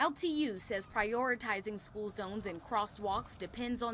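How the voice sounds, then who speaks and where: In a plain, everyday voice, a woman talks at a moderate pace with a fairly high pitch and hardly any pauses. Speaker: television news reporter, multimedia journalist and fill-in anchor. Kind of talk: local TV news reporting, live shots and packages.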